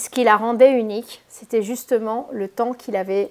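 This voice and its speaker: With fairly even intonation, a woman with a fairly high pitch talks at a moderate speed. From Spain. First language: Spanish (speaking French). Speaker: holistic therapist. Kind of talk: casual video introduction; reading aloud. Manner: hesitant, many fillers.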